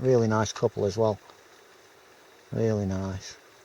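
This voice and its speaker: A man with a Yorkshire accent speaks in a monotone, flat intonation. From Yorkshire, northern England. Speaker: outdoors vlogger. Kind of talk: casual vlog talk to camera. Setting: outdoors, wild camp in forest. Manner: halting, many fillers.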